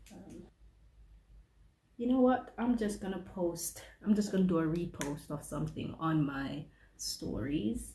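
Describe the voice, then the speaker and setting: With vocal fry and a medium pitch, a woman speaks at a fairly slow pace with ordinary pitch variation amid audible room echo. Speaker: vlogger and HR administrator. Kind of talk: casual vlog narration. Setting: office. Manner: soft-spoken.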